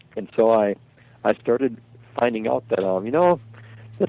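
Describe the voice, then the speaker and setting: A man is speaking. His pace is moderate. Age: 60s. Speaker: outdoor writer and hunter. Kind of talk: casual interview chat. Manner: halting, repeats words.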